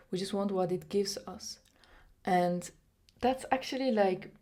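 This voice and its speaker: A woman with a non-native accent at a fairly slow pace, medium in pitch, with a dark, mellow tone and fairly even intonation. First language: not English. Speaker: vlogger. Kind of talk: motivational monologue to camera. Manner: many fillers and restarts.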